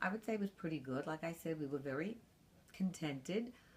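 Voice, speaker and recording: Speaking in a New York accent at a moderate pace, a woman uses a very deep, low pitch with very wide pitch swings. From Brooklyn, New York. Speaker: grandmother interviewed about her life. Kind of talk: oral history interview.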